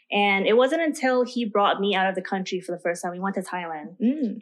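In an American accent and a normal speaking voice, the speaker moves at a fairly quick pace with ordinary pitch variation. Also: woman. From US West Coast, Oakland. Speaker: lifestyle and travel content creator. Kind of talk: casual interview.

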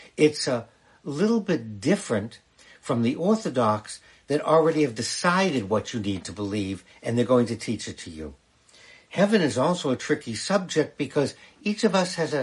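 Vocal fry marks this man's voice as he speaks at a moderate pace with very wide pitch swings. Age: 70s. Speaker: rabbi. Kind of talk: livestream Q&A talk. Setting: live stream on TikTok. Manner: conversational, with fillers.

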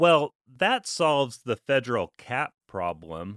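A man with an American accent and a bright, sharp tone speaks at a very slow pace, the sound dry and close with no echo against a quiet background. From Alaska. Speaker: tax lawyer. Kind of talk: podcast monologue. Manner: conversational.

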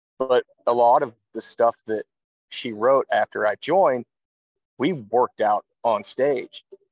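The man's medium pitch shows ordinary variation as he talks. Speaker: bass player. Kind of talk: casual interview. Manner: quiet.

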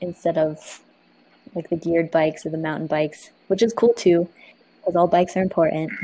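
Monotone, flat intonation from a woman with a fairly low pitch. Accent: American. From Arizona, Tucson. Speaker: community organizer and cycling advocate. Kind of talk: casual interview chat.

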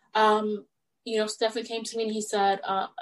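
This woman has a normal speaking voice with a fairly high pitch and a fairly quick pace. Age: 30s. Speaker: stylist and entrepreneur. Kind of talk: interview.

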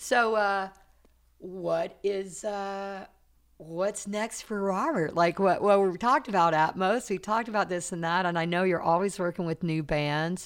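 A woman with an American accent and an unremarkable speaking voice talks at a fairly slow pace, at a medium pitch with ordinary variation. The recording is very clean, with a silent background. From US South, South Carolina. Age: 60s. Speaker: podcast host, studio manager. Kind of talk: casual interview. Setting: recording studio.

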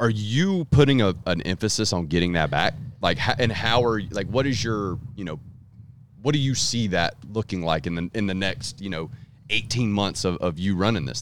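A man with a fairly low voice speaks at a moderate pace with lively intonation. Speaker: distribution director. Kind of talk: casual chat.

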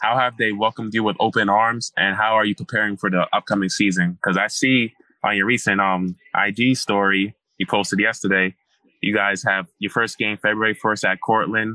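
A man in a normal speaking voice with an American accent, fairly low pitch, fairly quick pace, fairly even intonation and very even loudness. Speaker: podcast host. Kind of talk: casual interview.

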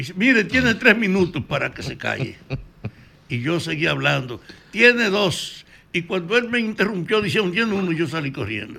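At a moderate pace, a man speaks with a high pitch and very wide pitch swings. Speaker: former political activist. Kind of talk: interview.

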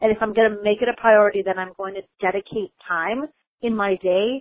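A woman's normal speaking voice with an American accent, medium in pitch, fairly quick, with ordinary pitch variation. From US Midwest, Chicago. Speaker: lawyer and author. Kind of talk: interview.

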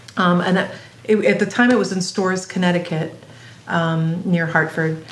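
A woman speaks at a moderate pace with a fairly low pitch and ordinary pitch variation, leaving long, frequent pauses. Noticeable background noise and audible room echo fill the recording. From Belgium, Singapore and US Midwest (moved often). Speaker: improvising cellist. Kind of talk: casual interview.

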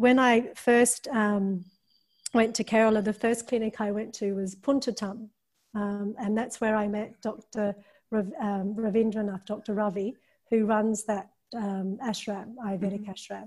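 A woman's fairly high, somewhat breathy voice, fairly slow pace, and monotone, flat intonation. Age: 50s. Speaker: yoga teacher and filmmaker. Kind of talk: interview.

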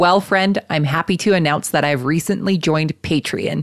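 A woman with a Canadian accent, a normal speaking voice, fairly low in pitch with ordinary variation, at a fairly quick pace on a very clean recording with a silent background. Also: dry, close sound with no echo. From Canada. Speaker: podcast host. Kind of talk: casual interview; scripted ad read.

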